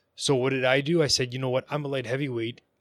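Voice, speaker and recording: In a Canadian accent, the speaker uses an ordinary speaking voice with fairly even intonation on a very clean recording with a silent background. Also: man. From Ontario, Canada. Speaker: boxer. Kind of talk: casual interview chat.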